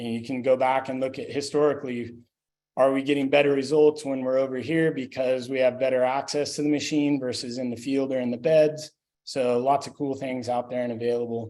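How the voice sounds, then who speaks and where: A man's dark, mellow, medium-pitched voice, monotone and flat in intonation, at a fairly quick pace. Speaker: sanitation consultant. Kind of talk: webinar presentation. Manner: fast.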